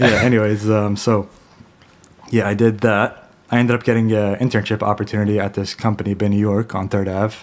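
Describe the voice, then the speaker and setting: A man with an American accent talks at a fairly quick pace. His fairly low voice stays monotone and flat. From Lebanon and New Jersey, US. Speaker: podcast guest. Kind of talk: casual chat. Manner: code-switching English and Arabic, frequent fillers.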